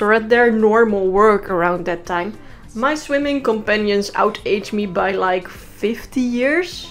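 A woman's fairly high voice in a Dutch accent, at a fairly slow pace, with music in the background. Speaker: freelance animator narrating a comedic story video.

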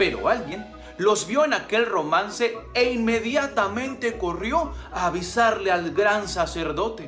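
A man speaks at a fairly slow pace with faint music in the background. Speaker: storyteller. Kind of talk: storytelling narration. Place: home room. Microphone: phone near.

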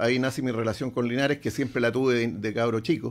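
At medium pitch, a man talks very fast with fairly even intonation. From Chile, Concepción; Chile. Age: 70s. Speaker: football club executive; interview guest. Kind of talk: interview. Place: studio. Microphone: studio mic.

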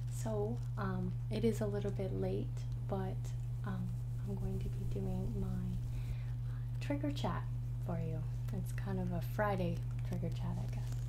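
A woman at a fairly slow pace with long, frequent pauses, amid loud background noise. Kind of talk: casual vlog chat. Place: home room. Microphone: studio mic.

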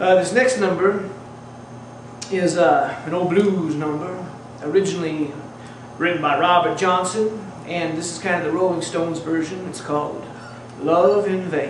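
With noticeable background noise and audible room echo, a man speaks in a high pitch with fairly even intonation and long, frequent pauses. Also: moderate pace. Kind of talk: casual stage patter between songs. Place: home room. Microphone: camera far.

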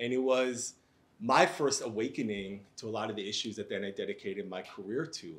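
At a fairly quick pace, a man talks in an unremarkable speaking voice. He sits at a medium pitch and varies it in an ordinary way. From Israel, raised in New York. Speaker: professor and civil rights advocate. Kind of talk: panel discussion. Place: classroom.

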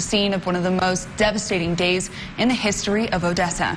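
Light background noise sits under a woman who talks fairly quickly in a monotone, flat intonation. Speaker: TV news anchor. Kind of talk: breaking news broadcast. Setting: TV studio. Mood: serious, somber news delivery. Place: studio. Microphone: lapel.

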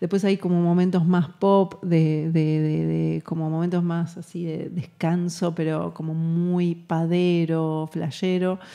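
A woman with a Rioplatense accent, fairly low in pitch, dark and mellow in tone, monotone and flat, at a very slow pace against a quiet background. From Argentina, Buenos Aires. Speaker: musician; guest. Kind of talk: interview. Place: hall. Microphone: studio mic.

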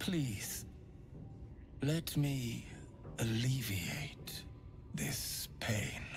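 Whispering in a put-on character voice at a very slow pace, the speaker leaves long, frequent pauses over clear background noise. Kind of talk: creepy gentle preaching. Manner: soft, soothing, unsettling.

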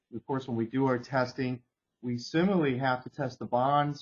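Intonation stays fairly even in a normal speaking voice. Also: man. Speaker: webinar host. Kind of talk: technical webinar presentation. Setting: video call.

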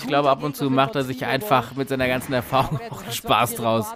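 The tone is upbeat and the pace fairly quick, with noticeable background noise behind the voice. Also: man. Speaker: sports commentator. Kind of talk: live sports commentary over highlight footage. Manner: fluent, upbeat, builds excitement around key points.

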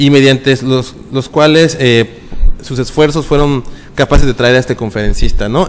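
Here a man talks at medium pitch and a moderate pace. Faint background noise can be heard.

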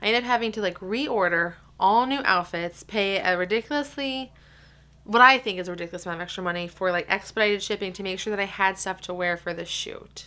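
The woman speaks at a very fast pace. Her pitch variation is ordinary. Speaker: vlogger. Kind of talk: casual vlog chat. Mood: excited, a bit frustrated. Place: home room. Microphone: phone near.

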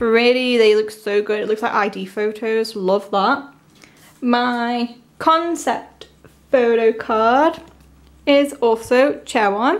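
A woman speaks very slowly at a fairly high pitch, with ordinary pitch variation. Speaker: K-pop fan unboxing vlogger. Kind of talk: unboxing video, casual excited reaction. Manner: animated, excitable. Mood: excited, gushing. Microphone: phone near.

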